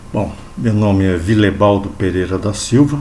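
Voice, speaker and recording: A man's fairly low voice with ordinary pitch variation and audible room echo. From São Paulo, Brazil (born in Bahia). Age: 60s. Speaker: lay evangelical preacher. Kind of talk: religious talk to camera.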